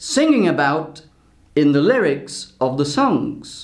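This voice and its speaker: Very wide pitch swings mark a man's fairly slow speech, heard with audible room echo. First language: Portuguese. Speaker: language teacher. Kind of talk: vlog-style talk to camera.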